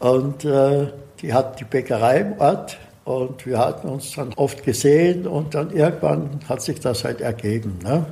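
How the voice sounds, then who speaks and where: A man's fairly high voice in an Austrian accent, fairly slow in pace with ordinary pitch variation, over noticeable background noise. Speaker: herb expert and cook. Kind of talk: interview.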